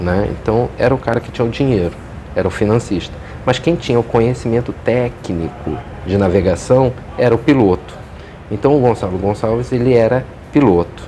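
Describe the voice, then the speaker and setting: A man's medium-pitched voice at a moderate pace, ordinary pitch variation, and noticeable background noise. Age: 40s. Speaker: history teacher and historian. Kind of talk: interview. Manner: hesitant, with frequent fillers.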